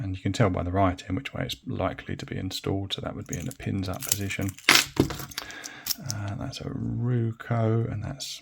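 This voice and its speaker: Against noticeable background noise, a man with an English accent speaks at a moderate pace and fairly low pitch with ordinary pitch variation. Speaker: hobbyist lock picker, video creator. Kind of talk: tutorial. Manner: casual, hesitant with many fillers.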